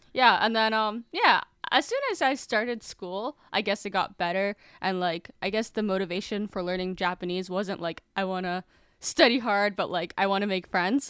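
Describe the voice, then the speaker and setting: This woman has a normal speaking voice with an American accent, medium in pitch and moving at a moderate pace. Her pitch varies in an ordinary way, and the sound is dry and close with no echo. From Massachusetts. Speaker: filmmaker and YouTuber. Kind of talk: casual interview. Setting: remote call.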